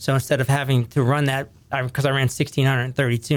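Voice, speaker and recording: A man with an American accent talks very fast in a medium pitch and a monotone, flat intonation. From US, Ohio Valley, northern West Virginia. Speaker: podcast host. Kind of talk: casual interview.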